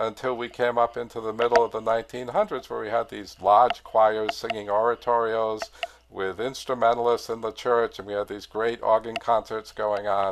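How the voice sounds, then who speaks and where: In an American accent, a man speaks in an ordinary speaking voice at medium pitch and a moderate pace. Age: 60s. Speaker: organist and choir director. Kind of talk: lecture. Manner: casual, with many fillers.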